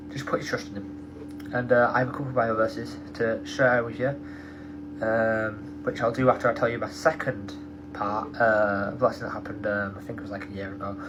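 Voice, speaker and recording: With noticeable background noise and audible room echo, a man speaks at a fairly quick pace in a fairly low pitch, his intonation lively and his loudness swinging widely. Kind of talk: testimony. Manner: fast; halting, many fillers.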